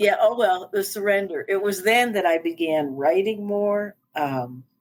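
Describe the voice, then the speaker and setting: Using an ordinary speaking voice, a woman with an American accent talks at a medium pitch and fairly slow pace with lively intonation. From US East Coast. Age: 60s. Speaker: life coach and speaker. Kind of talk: interview.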